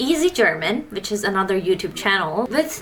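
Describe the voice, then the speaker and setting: Over noticeable background noise, a woman talks at a fairly high pitch in a Turkish accent. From Turkey. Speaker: language-learning YouTuber. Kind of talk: casual vlog talk. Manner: casual, filler-heavy.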